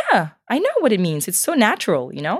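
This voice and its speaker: A woman talks in an animated tone at a very fast pace. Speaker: podcast co-host. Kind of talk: casual chat. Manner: animated, laughs often.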